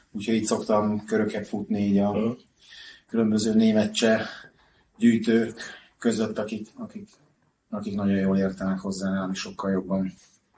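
Speaking at a moderate pace with long, frequent pauses, a man uses monotone, flat intonation with a fairly low pitch and a dark, mellow tone. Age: 40s. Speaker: hockey puck collector. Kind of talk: casual interview. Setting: at his home. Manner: halting, repeats words.

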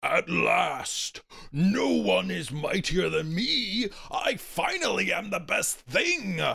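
A man speaks at a very slow pace in a raspy voice. He raises and projects it. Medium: read story. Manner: boastful, wrathful, grandiose.

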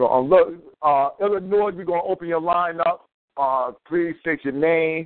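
In an energetic, warm tone, a man with a high pitch speaks at a moderate pace with ordinary pitch variation. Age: 30s. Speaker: radio call-in host. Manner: energetic, informal, warm.

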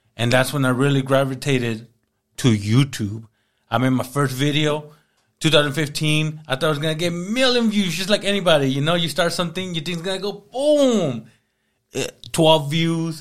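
Against a very clean, silent background, a man with an unremarkable speaking voice and an American accent talks at a moderate pace with lively intonation. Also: fairly high pitch for a man. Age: 30s. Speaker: entrepreneur. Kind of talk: casual chat.

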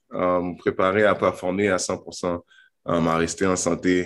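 Very slow pace from a man with a very deep, low pitch and monotone, flat intonation on a very clean recording with a silent background. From Montreal, Quebec. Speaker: professional basketball player. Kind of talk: interview.

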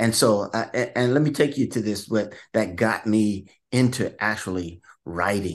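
A man has an unremarkable speaking voice with a fairly low pitch and ordinary pitch variation. He talks at a fairly slow pace against a quiet background. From Vallejo, California. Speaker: author. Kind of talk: interview.

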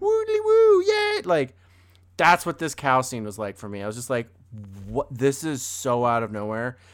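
Talking at a moderate pace, a man uses an animated tone with big swings in loudness. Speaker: film review podcast co-host. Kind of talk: casual chat.

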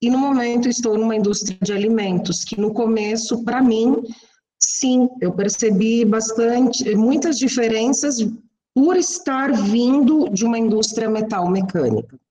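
Audible room echo surrounds a woman whose voice sits fairly high. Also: ordinary pitch variation, fairly slow pace. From Santa Catarina, Brazil (west, near Chapecó). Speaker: engineer, plant manager. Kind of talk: interview.

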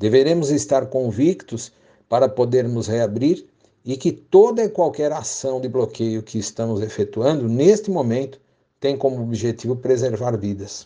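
A dark, mellow voice moves at a fairly slow pace with lively intonation over a quiet background. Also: man, medium pitch for a man. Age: 60s. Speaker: professional condo manager, retiree. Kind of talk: interview. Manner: formal.

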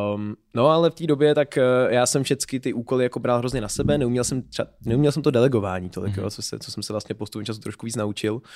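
At a very fast pace with hardly any pauses, a man talks at a medium pitch with ordinary pitch variation and big swings in loudness on a very clean recording with a silent background. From Czechia, Pardubice. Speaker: startup founder and lecturer. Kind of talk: interview.

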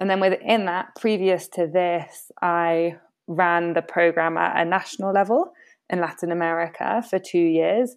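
A woman speaks with a British accent at a moderate pace, her pitch fairly low and her intonation fairly even. The background is quiet. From Britain. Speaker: impact network program manager. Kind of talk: casual interview conversation. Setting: video call.

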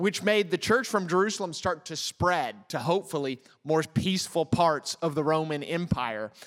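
At a moderate tempo, a man speaks in a plain, everyday voice whose pitch varies in an ordinary way. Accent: American. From United States. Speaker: pastor. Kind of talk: sermon.

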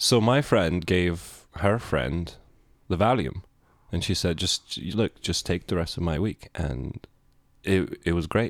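This man has a very deep, low voice with vocal fry and a Lithuanian accent, speaking at a very slow pace. His intonation is lively, and the recording is very clean with a silent background. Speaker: podcast co-host. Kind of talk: casual chat.

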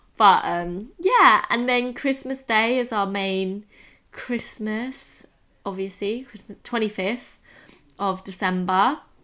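Woman with an English accent, fairly high pitch and a bright, sharp tone, very slow pace, on a very clean recording with a silent background. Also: ordinary pitch variation, big swings in loudness. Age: 20s. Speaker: podcast co-host. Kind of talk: casual chat.

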